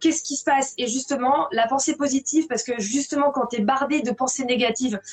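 With noticeable background noise behind her, a woman speaks at a high pitch with ordinary pitch variation. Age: 40s. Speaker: blogger and author on well-being. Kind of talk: live interview. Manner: repeats words when starting sentences.

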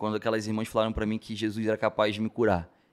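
A man is speaking. He has a strong carioca accent. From Rio de Janeiro, Brazil. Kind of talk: casual interview testimony.

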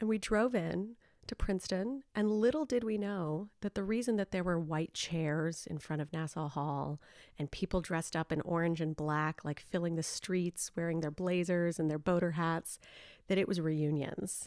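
In a very clean recording, silent background, with a dry, close sound with no echo, a woman with an American accent speaks at fairly low pitch with ordinary pitch variation. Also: moderate pace. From central New York. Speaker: arts and business consultant. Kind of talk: casual interview.

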